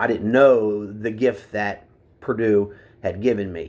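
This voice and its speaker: A man with an Appalachian accent talks at a fairly slow pace. His pitch is fairly low, with ordinary variation. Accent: Appalachian American. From West Virginia, US. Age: 50s. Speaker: military veteran speaking about opioid addiction. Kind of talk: personal testimony. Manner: halting, many fillers.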